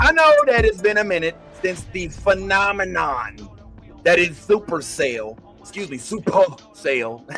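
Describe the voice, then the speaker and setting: A man's raised, projected voice, high in pitch with very wide pitch swings, over music in the background. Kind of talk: podcast host intro and interview. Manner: casual, energetic.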